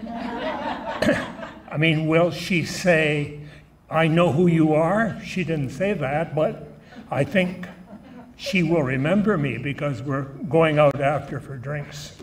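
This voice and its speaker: A man with a Canadian accent and a fairly high pitch talks at a very slow pace with ordinary pitch variation, amid noticeable background noise and audible room echo. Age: 90s. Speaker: event emcee, former radio morning show host. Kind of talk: speech at a gala dinner. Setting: banquet hall with audience, microphone. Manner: humorous, conversational.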